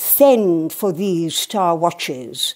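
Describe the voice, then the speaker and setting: Putting on a growling character voice, a woman speaks with lively intonation at a fairly low pitch. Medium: read story. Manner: growling, commanding.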